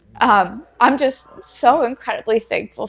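With a plain, everyday voice, a woman in an American accent speaks at a fairly high pitch with ordinary pitch variation. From US Northeast, Pennsylvania. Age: 20s. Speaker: fitness competitor and personal trainer. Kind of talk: casual interview chat. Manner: laughs often.

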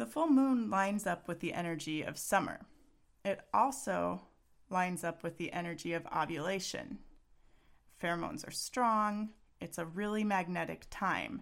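A woman with an American accent speaks at a moderate pace in an ordinary speaking voice, her medium pitch carrying lively intonation over a very clean recording with a silent background. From Texas. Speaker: parenting coach and podcast host. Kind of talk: solo podcast monologue.

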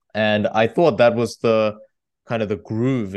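A man speaks with an Australian accent at a fairly slow pace and fairly low pitch. His pitch variation is ordinary, and the background is quiet. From Australia (moved from Korea at eight). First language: Korean. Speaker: debate champion and author. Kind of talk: interview.

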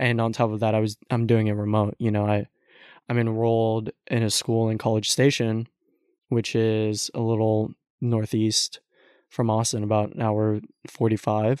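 With an American accent, a man speaks at a medium pitch and moderate pace in monotone, flat intonation, against a quiet background with a dry, close sound and no echo. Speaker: host's son, college student. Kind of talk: casual chat. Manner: laughs often.

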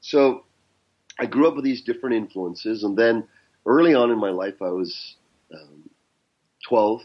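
Speaking at a moderate pace and medium pitch, a man with a Canadian accent uses lively intonation, big swings in loudness, and long, frequent pauses. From Canada. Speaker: business mentor and coach. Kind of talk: interview conversation.

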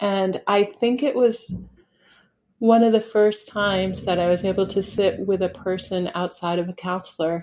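In an American accent, a woman with a normal speaking voice and medium pitch talks at a fairly slow pace with fairly even intonation. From New Hampshire, US. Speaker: podcast host. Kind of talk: casual interview. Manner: warm, laughs often.

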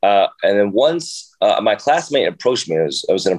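A man talks at a fairly quick pace. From Jersey City, New Jersey, US. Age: 30s. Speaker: professional dancer and instructor. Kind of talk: casual interview chat. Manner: halting, many fillers.

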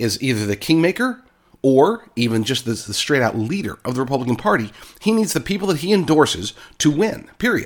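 An angry man with an American accent speaks at a fairly high pitch with very wide pitch swings, on a very clean recording with a silent background. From Oklahoma, US South. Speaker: political commentator, podcaster. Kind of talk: political opinion monologue. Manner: opinionated, angry.

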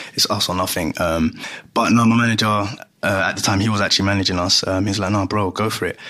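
Very fast and monotone, a man with a London accent speaks with flat intonation, a bright, sharp tone and a fairly low pitch. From London (Greenwich), Ghanaian heritage. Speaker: musician. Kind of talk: casual chat.

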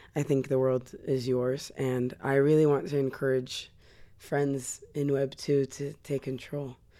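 With a Californian accent, a woman talks at a moderate pace in a very deep, low pitch and a dark, mellow tone. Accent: general American, Californian. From US West Coast, Los Angeles. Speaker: singer. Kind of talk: interview. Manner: animated.

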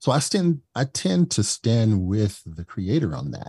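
Speaking very slowly in an American accent, a man has a dark, mellow tone, a somewhat breathy quality, and a dry, close sound with no echo. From US Midwest, East St. Louis, Illinois. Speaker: diversity, equity and inclusion consultant. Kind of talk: interview.

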